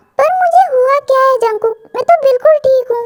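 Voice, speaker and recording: A woman puts on a squeaky character voice at an extremely high pitch. She goes at a fairly quick pace in a dry, close sound with no echo. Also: ordinary pitch variation. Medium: fan dub.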